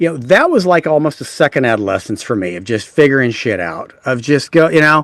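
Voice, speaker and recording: A man's unremarkable speaking voice with an American accent and lively intonation, at a moderate pace, in a very clean recording with a silent background and a dry, close sound with no echo. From Texas. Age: 60s. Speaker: author and generational speaker. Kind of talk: casual interview chat.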